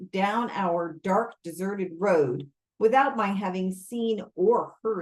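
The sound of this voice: Over a quiet background comes an unforced reading voice with ordinary pitch variation.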